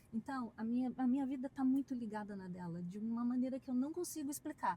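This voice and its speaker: This woman has a high pitch, a dark, mellow tone and a strong Curitiba accent. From southern Brazil, Curitiba. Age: 40s. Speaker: dentist. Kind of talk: interview.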